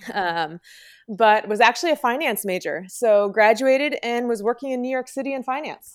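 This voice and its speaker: Very clean recording with a silent background. A woman speaks at a moderate pace in a high pitch with ordinary pitch variation. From New Jersey, Morris County. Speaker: physical therapist. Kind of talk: interview. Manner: casual, filler-heavy.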